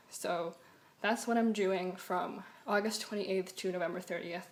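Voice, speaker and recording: A woman at medium pitch and moderate pace, with an American accent. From New York City. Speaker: student vlogger. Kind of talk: casual vlog. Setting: home, talking to camera. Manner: halting; soft-spoken.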